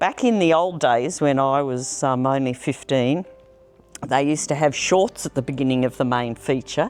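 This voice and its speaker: The speaker has an Australian accent. Music plays in the background. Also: woman. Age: 70s. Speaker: long-time film society member. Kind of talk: personal reminiscence interview. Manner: reflective, with frequent hesitations.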